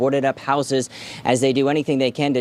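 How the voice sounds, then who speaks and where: Over noticeable background noise, a man talks in an upbeat tone at a very fast pace. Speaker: television reporter and anchor. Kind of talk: television news reporter package and live shot. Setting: outdoors, live on location. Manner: conversational live report, upbeat.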